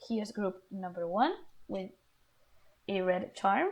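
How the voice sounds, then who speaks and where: Speaking with a non-native accent, a woman talks at a fairly slow pace. Her voice is somewhat breathy, with medium pitch. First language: not English. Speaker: tarot reader. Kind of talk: tarot reading video; guided breathing. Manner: halting.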